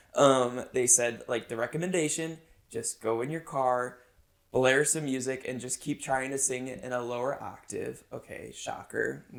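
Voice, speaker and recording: Here a man uses an ordinary speaking voice with medium pitch. He keeps a moderate pace and fairly even intonation. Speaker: podcast host, former broadcaster. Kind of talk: casual chat.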